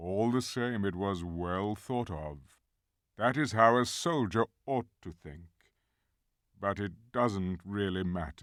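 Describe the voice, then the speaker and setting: A man puts on a character voice, fairly low and fairly slow, in a very clean recording with a silent background. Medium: read story. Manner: slow, grave.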